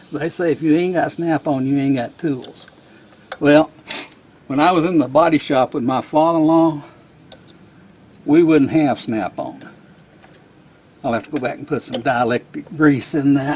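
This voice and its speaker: A man's fairly high voice at a moderate pace, broken by long, frequent pauses, with noticeable background noise. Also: ordinary pitch variation. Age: 60s. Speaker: hobby machinist and home mechanic. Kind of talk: casual DIY repair narration.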